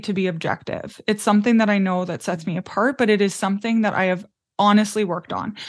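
A woman talks with a Canadian accent in an ordinary speaking voice. Her pitch is medium, with ordinary pitch variation, against a quiet background. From Canadian prairies. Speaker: business mentor. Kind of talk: interview.

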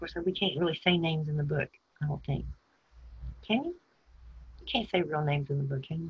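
Somewhat breathy and very deep, low in pitch, a woman talks at a very fast pace broken by long, frequent pauses. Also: ordinary pitch variation. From Texas, San Antonio and Houston. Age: 50s. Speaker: person telling her life story. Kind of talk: interview.

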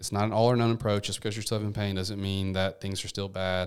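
On a very clean recording with a silent background, a man with a Memphis accent talks at a very fast pace with fairly even intonation. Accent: Southern US (Memphis). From US South, Memphis, Tennessee. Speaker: physical therapist. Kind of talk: podcast interview.

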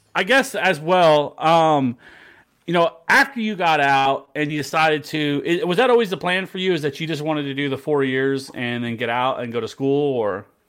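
A man with an American accent and an ordinary speaking voice, fairly high-pitched, at a moderate pace with lively intonation. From Missouri. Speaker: podcast host and veteran. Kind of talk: casual chat.

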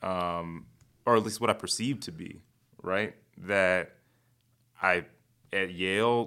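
This man has a bright, sharp tone, a fairly low pitch and an American accent. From Chicago South Side. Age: 30s. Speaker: comedian and TV writer. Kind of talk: casual interview. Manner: fast talker.

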